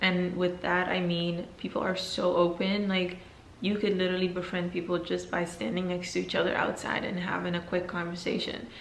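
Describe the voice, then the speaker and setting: Noticeable background noise and audible room echo around fairly even intonation at a moderate pace. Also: woman. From Netherlands and Belgium, Guinean family. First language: Fulani. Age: 20s. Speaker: YouTuber. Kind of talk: casual Q&A vlog.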